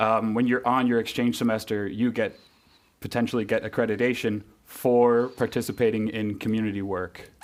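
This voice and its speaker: In a New England accent, a man talks at a moderate pace. His medium-pitched voice stays monotone and flat. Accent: New England American. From US Northeast, Connecticut. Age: 30s. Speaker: university graduate. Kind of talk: podcast interview. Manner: hesitant, many fillers.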